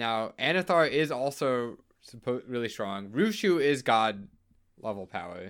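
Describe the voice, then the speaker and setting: This is an unremarkable speaking voice from a man at a medium pitch. He speaks at a fairly slow pace with lively intonation. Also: very clean recording, silent background. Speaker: podcast host. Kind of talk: casual chat. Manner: joking.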